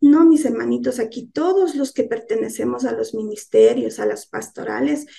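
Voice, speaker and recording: The pace is moderate. There are hardly any pauses. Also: woman. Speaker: lay church teacher. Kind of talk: sermon. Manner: soft-spoken.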